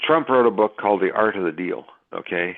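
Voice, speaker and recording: Speaking with a Canadian accent, a man moves at a fairly quick pace. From Canada. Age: 70s. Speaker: gold and silver market analyst. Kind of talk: interview. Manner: halting, with many fillers.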